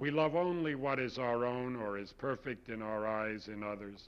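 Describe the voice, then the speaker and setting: Using a plain, everyday voice, a man speaks fairly slowly. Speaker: poet. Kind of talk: poetry reading, performed poem. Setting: studio. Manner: measured, intimate, confessional.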